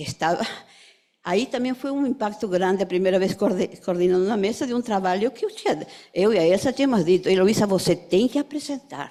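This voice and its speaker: Dark and mellow in tone, a woman at medium pitch speaks at a fairly quick pace with lively intonation. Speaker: psychoanalyst. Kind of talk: memorial tribute speech.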